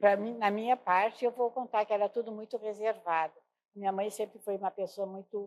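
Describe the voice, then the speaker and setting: A woman has an unremarkable speaking voice at a medium pitch with fairly even intonation. The sound is dry and close, with no echo. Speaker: midwife's child, interviewee. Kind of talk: oral history interview.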